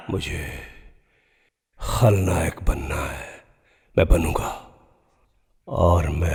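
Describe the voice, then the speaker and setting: This man's very deep, low voice carries vocal fry, lively intonation and a theatrical tone. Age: 60s. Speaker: film actor. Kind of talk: dramatic monologue. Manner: theatrical, impassioned.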